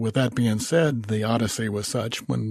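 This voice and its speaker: A man talks at a medium pitch, sounding somewhat breathy. The background is quiet. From not North Carolina. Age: 70s. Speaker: firearms enthusiast and competitive shooter. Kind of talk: podcast interview.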